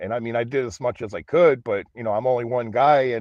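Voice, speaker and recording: A man talks at a fairly quick pace. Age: 50s. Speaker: livestreamer, van dweller. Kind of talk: casual livestream chat. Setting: inside a van. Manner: halting, repetitive.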